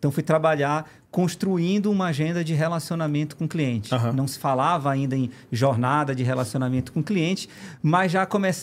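At a moderate pace, a man speaks in an unremarkable speaking voice. His pitch sits fairly high, with ordinary variation. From Pará, northern Brazil. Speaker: engineering firm executive. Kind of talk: podcast interview.

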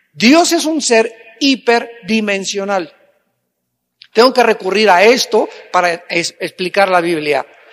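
With a high pitch and lively intonation, a man talks at a very slow pace with long, frequent pauses. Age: 60s. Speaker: pastor. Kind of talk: sermon.

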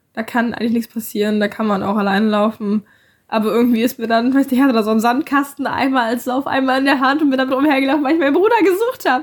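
At a very fast pace, a woman speaks with a high pitch and ordinary pitch variation. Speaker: podcast co-host. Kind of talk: casual chat.

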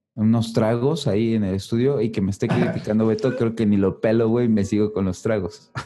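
With a Mexican accent, a man speaks at medium pitch and a moderate pace. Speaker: podcast host. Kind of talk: casual chat.

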